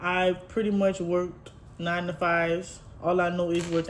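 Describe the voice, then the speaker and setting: This woman has a fairly low-pitched voice. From Louisiana, Houma. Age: 20s. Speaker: lifestyle vlogger. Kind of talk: casual get-to-know-me vlog. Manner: chatty, informal.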